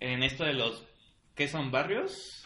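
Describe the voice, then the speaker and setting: Some room echo is audible as a man talks at a fairly slow pace. His pitch is fairly high, with ordinary variation. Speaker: podcast co-host. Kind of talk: casual chat.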